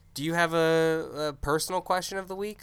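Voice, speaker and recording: A man with an American accent and a fairly high pitch, bright and sharp in tone, on a very clean recording with a silent background. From US, Tennessee and rural Pennsylvania. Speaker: podcast co-host, filmmaker. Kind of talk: casual chat.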